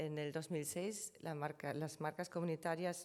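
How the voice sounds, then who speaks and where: A woman with a German accent and a very deep, low pitch, at a fairly slow pace with fairly even intonation, on a very clean recording with a silent background. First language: German (speaking Spanish). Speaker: trademark law panelist. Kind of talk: conference presentation. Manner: hesitant, with filler sounds.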